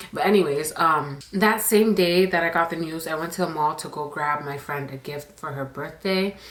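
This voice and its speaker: A woman with a very deep, low pitch speaks at a moderate pace with hardly any pauses and ordinary pitch variation. Her loudness swings widely over noticeable background noise. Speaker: storytime YouTuber. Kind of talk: storytime monologue. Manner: quieter than usual, normal inside voice.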